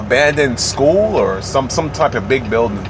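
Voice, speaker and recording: Light background noise runs behind a man's voice. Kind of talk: casual vlog chat. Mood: relaxed, animated, joking. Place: car. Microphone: phone near.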